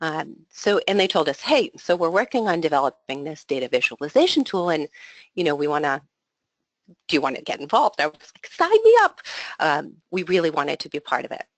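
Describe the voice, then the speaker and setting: A woman speaks fairly quickly at a fairly low pitch, with lively intonation and big swings in loudness. The sound is dry and close, with no echo. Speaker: association executive. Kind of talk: webinar presentation. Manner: fast.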